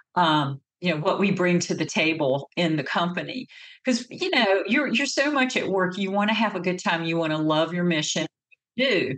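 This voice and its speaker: A woman with a Southern US accent speaks at a moderate pace in a fairly low voice, her intonation lively and her loudness very even. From North Carolina, US South. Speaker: marketing agency CEO. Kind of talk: interview.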